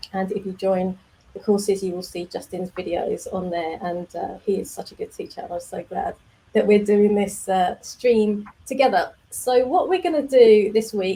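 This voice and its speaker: With an English accent, a woman speaks at a moderate pace. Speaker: developer community manager, stream host. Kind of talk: casual live stream. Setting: live video stream.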